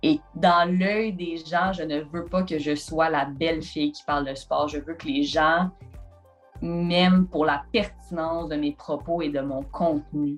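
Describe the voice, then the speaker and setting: Over music in the background, the speech comes at a very slow pace with fairly even intonation. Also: woman. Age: 20s. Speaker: sports journalist. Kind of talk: interview answer.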